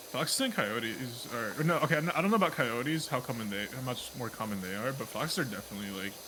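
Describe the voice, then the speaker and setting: With an American accent, a man talks at a very fast pace with hardly any pauses, lively intonation and a medium pitch. Noticeable background noise and audible room echo are present. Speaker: streamer. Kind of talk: casual chat.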